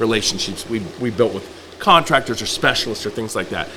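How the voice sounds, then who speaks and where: Speech rushes by very quickly while noticeable background noise plays underneath. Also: man. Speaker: farm owner and blogger. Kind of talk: podcast interview. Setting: on location at the farm. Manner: loud.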